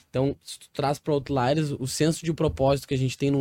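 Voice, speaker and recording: This man's voice is dark and mellow in tone and fairly high in pitch, captured on a very clean recording with a silent background. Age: 30s. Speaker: real estate entrepreneur. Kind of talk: interview.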